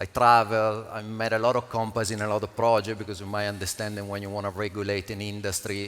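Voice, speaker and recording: Speaking fairly quickly with an Italian accent, the man keeps a fairly low pitch and a monotone, flat intonation. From Italy. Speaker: panel moderator, crypto entrepreneur. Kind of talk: panel discussion.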